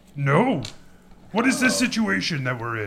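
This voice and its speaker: The man's pace stays moderate. His put-on character voice is pitched fairly high. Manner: playful.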